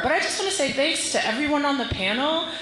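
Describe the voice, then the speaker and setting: In an American accent, a woman projects her high-pitched voice over noticeable background noise while the room echo can be heard. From Silver Spring, Maryland. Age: 30s. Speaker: audience member. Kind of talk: audience question.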